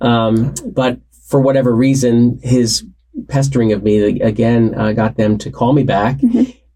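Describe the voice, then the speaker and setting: A man's dark, mellow voice with a US Northeastern accent at a moderate pace. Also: medium pitch for a man, fairly even intonation. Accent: US Northeast. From New Jersey, Warren County. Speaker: association CEO. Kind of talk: interview.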